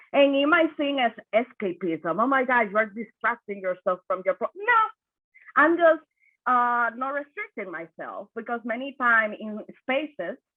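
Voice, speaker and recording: A high-pitched woman with a Spanish accent speaks at a moderate pace, her intonation lively. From Dominican Republic. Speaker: suicide prevention worker. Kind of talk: panel discussion. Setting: video call.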